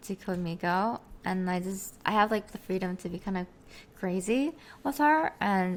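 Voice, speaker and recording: A woman speaks with a Korean accent at a moderate pace and medium pitch. The recording is very clean, with a silent background. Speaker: streamer and virtual avatar creator. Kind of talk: interview. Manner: halting, many fillers.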